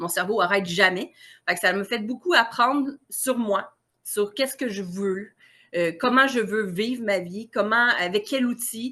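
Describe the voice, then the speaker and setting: Against a quiet background, a woman speaks very slowly in a bright, sharp tone, her fairly high pitch varying in an ordinary way. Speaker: naturotherapist. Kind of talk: interview. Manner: animated.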